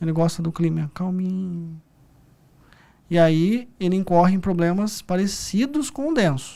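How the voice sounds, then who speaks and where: A man speaks in a high voice at a moderate pace. The recording is very clean, with a silent background. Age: 30s. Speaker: psychologist. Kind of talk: podcast interview.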